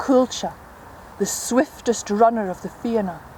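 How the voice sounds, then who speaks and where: The speech moves at a very slow pace with ordinary pitch variation. Background noise is noticeable throughout. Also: woman. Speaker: traditional storyteller. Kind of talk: traditional storytelling performance.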